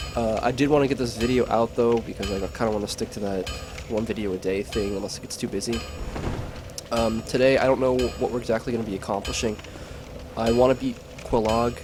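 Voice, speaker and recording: A man speaks at a very fast pace and medium pitch with fairly even intonation, over noticeable background noise. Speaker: gaming commentator. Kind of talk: gameplay commentary. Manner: casual with many fillers.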